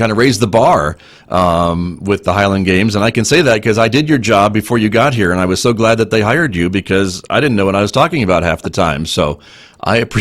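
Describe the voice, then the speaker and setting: With an ordinary speaking voice, a man talks fairly quickly at a fairly low pitch, with ordinary pitch variation and very even loudness. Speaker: radio station general manager, interviewer. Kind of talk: interview host. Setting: video call recording (Zoom).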